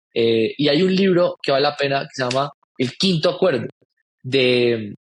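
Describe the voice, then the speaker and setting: A man in a Colombian accent at a fairly slow pace, the sound dry and close with no echo. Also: fairly high pitch for a man, ordinary pitch variation. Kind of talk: podcast interview.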